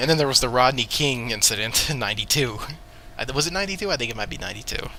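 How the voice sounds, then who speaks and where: Quiet against noticeable background noise, a man speaks at a very fast pace with lively intonation. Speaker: podcast host. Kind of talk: casual chat.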